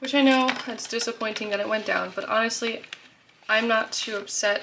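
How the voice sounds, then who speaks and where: Against noticeable background noise, a woman with fairly high pitch talks at a moderate pace with ordinary pitch variation. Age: 20s. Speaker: budgeting vlogger. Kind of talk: casual tutorial vlog. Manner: casual with many fillers.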